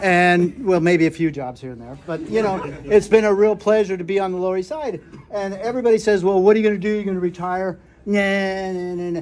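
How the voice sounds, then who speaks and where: A man with a high pitch talks at a fairly quick pace, with ordinary pitch variation, big swings in loudness and light background noise. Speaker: birthday host. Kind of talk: informal party speech. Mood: warm, reflective. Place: home room. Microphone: phone near.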